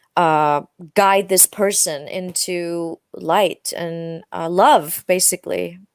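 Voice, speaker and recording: A woman with an Icelandic accent speaks very slowly at a fairly low pitch with fairly even intonation. The sound is dry and close, with no echo. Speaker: pop singer. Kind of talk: interview. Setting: audio-only video call. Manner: halting, many fillers.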